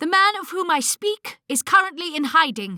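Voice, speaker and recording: Extremely high pitch in a put-on character voice. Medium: read story. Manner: composed, dignified.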